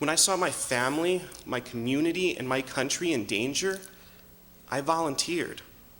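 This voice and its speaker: Audible room echo surrounds a man's fairly high voice, which shows ordinary pitch variation. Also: moderate pace. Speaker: political candidate. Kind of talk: debate opening statement. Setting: stage with audience in a church.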